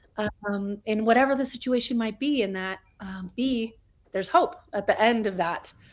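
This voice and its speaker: Using a normal speaking voice, a woman with an American accent talks at a moderate pace, her fairly high pitch rising and falling by an ordinary amount. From New Mexico, US (Albuquerque). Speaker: podcast co-host in recovery. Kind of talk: casual interview.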